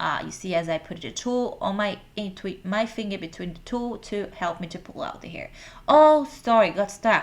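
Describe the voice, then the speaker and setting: In a Brazilian Portuguese accent, a woman speaks at a moderate pace and medium pitch. Her pitch swings very widely. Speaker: hair extension stylist. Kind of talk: tutorial.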